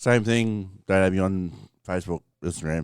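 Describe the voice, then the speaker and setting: Recorded very cleanly against a silent background, dry and close with no echo, a man with an Australian accent speaks at a fairly quick pace in a very deep, low pitch with ordinary pitch variation. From Australia (Victoria). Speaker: podcast co-host. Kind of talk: casual chat.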